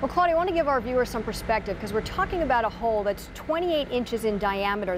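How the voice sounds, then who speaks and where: A woman's fairly high voice with an American accent and very wide pitch swings, over noticeable background noise. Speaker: television news anchor and reporter. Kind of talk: live field and studio news reporting. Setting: outdoors in windy rainy weather.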